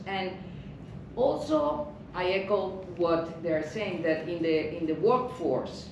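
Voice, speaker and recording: Speech comes at a very slow pace amid audible room echo and noticeable background noise. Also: woman. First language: Spanish. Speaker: anthropologist and lecturer. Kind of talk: panel discussion.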